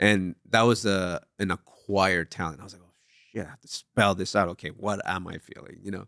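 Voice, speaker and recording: A man's fairly low voice with a Spanish accent, bright and sharp in tone, fairly quick, with fairly even intonation and big swings in loudness, on a very clean recording with a silent background and a dry, close sound with no echo. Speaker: TV writer and memoir author. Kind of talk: casual interview chat.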